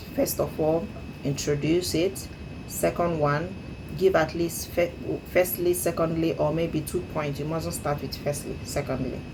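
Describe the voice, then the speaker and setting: With an African accent, a woman talks at a fairly slow pace in a very deep, low pitch with ordinary pitch variation. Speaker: English speaking learner. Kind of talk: speaking practice monologue. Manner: hesitant with frequent fillers.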